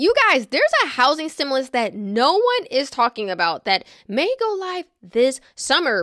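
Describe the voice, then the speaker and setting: A woman's voice swings very widely in pitch. The background is quiet, and the sound is dry with no echo. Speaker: real estate finance commentator. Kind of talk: casual vlog commentary. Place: home room. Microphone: studio mic.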